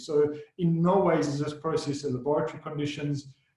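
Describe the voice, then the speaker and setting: The intonation stays fairly even while audible room echo fills the space. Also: man. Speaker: solution and technical architect. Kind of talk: webinar presentation. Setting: online webinar. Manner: fast.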